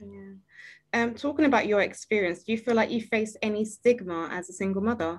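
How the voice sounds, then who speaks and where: Fairly quick and fairly high-pitched, a woman with a British accent shows ordinary pitch variation and big swings in loudness in a very clean recording with a silent background. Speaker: podcast host. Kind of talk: casual interview chat.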